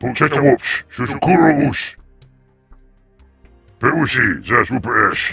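Over faint background music, a man in a put-on character voice speaks at a fairly slow pace and a fairly high pitch, with long, frequent pauses. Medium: machinima.

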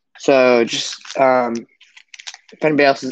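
Over light background noise, the speaker uses fairly even intonation in a dry sound with no echo. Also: man. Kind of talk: casual livestream chat. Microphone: phone near.

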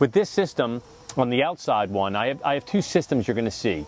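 A man speaks, and the sound is dry with no echo at all. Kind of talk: tutorial. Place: garden. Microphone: lapel.

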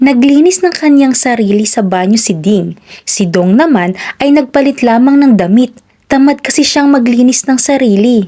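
This woman's high-pitched voice has a dark, mellow tone and lively intonation. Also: moderate pace, very even loudness. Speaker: children's storyteller. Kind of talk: reading aloud.

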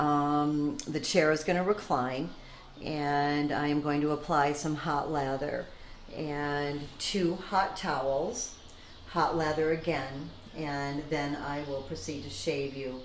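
A woman talks at a very slow pace with a very deep, low pitch and fairly even intonation. Room echo is audible, and there is light background noise. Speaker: barber. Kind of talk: instructions to a client during a shave. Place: shop.

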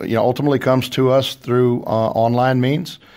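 Over a silent background in a very clean recording, a man speaks with a slight Texas accent and fairly even intonation. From Texas, small town. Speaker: company CEO. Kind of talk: radio interview. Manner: hesitant, many fillers.

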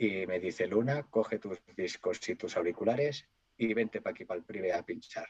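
Over a quiet background, a man talks at a moderate pace, medium in pitch, with ordinary pitch variation. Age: 40s. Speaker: DJ and cook; DJ. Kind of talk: casual interview; interview answer. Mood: nostalgic storytelling.

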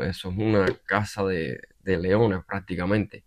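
Over a quiet background, a man speaks with a very deep, low pitch. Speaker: political commentary YouTuber. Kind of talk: opinion monologue. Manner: halting, many fillers.

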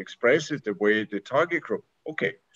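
A man speaks at a moderate pace with a German accent. The background is quiet. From Austria. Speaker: university director; panelist. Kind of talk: panel discussion; panel discussion answer. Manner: halting. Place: office. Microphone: video call.

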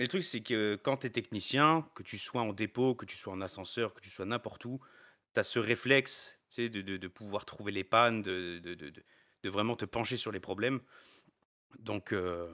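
In a very clean recording with a silent background and a dry, close sound with no echo, a man speaks at a fairly slow pace with a bright, sharp tone and big swings in loudness. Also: fairly low pitch for a man, ordinary pitch variation. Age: 30s. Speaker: elevator maintenance technician. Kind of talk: interview. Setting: live stream.

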